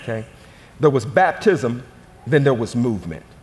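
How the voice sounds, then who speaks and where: A man speaks with ordinary pitch variation. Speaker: pastor. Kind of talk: sermon, call-and-response church preaching. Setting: stage with audience. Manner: animated, rousing the congregation to shout back; folksy, repetitive emphasis with direct audience prompts. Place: church. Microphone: headset.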